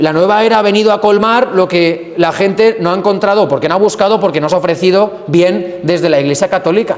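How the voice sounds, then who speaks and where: A man with a high-pitched voice talks at a fairly quick clip in an animated tone, his loudness very even, with audible room echo and noticeable background noise. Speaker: priest catechist. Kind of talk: adult catechesis lecture. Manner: fast.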